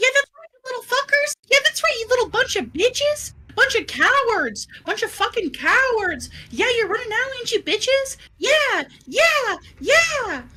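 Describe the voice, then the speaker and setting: A squeaky, put-on character voice at an extremely high pitch moves along at a moderate pace. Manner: shouting, taunting.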